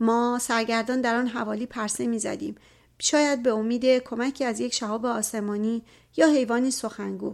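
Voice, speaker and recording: In a very clean recording with a silent background, a woman with an ordinary speaking voice and a fairly high pitch talks at a moderate pace with fairly even intonation. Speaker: audiobook narrator. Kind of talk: reading aloud.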